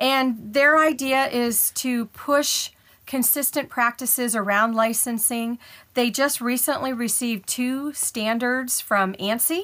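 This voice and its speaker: A woman with an American accent speaks very slowly in a high pitch with a bright, sharp tone, in a very clean recording with a silent background. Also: ordinary pitch variation. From Ohio, US. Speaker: patent analytics professional. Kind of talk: interview conversation.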